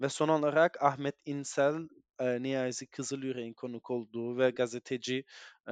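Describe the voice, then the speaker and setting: The speech comes at a moderate pace with fairly even intonation. The sound is dry and close with no echo, over a quiet background. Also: man. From northern Cyprus (Güzelyurt/Morphou). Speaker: activist and parliamentary aide. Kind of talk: interview. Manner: halting, many fillers.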